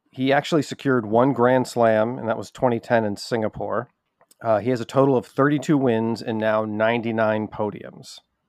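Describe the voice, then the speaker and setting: A man with an unremarkable speaking voice talks fairly quickly, his medium pitch paired with fairly even intonation. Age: 40s. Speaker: podcast producer presenting statistics. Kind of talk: casual chat.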